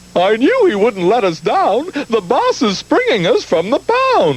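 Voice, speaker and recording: A cartoonish character voice with a fairly high pitch speaks at a fairly slow pace over light background noise. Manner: speaks in rhymes.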